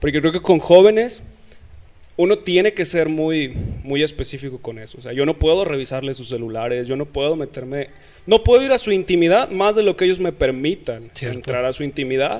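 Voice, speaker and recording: A man talks at a fairly quick pace in a normal speaking voice, fairly high in pitch with lively intonation. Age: 20s. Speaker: church youth leader. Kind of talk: casual interview.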